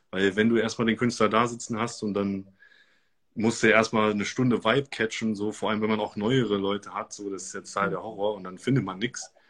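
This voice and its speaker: Monotone and flat, a man's fairly low voice rushes along at a very fast pace. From Germany, Göttingen. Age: 30s. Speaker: DJ and music producer. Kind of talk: interview.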